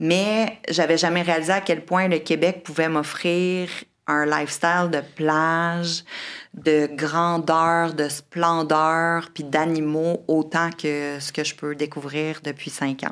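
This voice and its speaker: On a very clean recording with a silent background, a woman speaks very slowly in a fairly low pitch with monotone, flat intonation. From Quebec City. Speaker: marine biologist and environmental entrepreneur. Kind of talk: casual chat.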